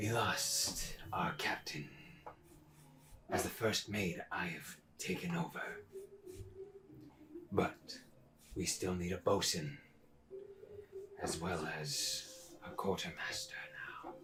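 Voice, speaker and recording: Using a raspy, put-on character voice, a man speaks fairly low and fairly slowly with long, frequent pauses, over clear background noise. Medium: actual play. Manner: halting, broken common speech.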